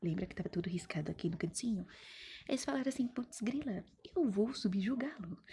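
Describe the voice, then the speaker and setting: A woman's somewhat breathy, dark and mellow voice at medium pitch, with lively intonation. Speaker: teacher. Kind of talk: recorded online history lesson. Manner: fast; animated, colloquial.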